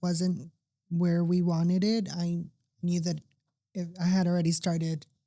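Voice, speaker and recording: With an American accent, a woman speaks at a very slow pace, her fairly low, dark, mellow voice somewhat breathy. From US West Coast, Los Angeles (Burbank). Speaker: patient sharing her surgery journey. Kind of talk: interview testimony.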